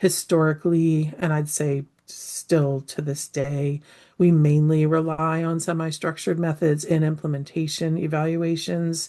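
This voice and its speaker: A woman speaks at a fairly slow pace with a very deep, low pitch. Her tone is dark and mellow and her intonation monotone and flat. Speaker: anthropologist and implementation science researcher. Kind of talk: lecture.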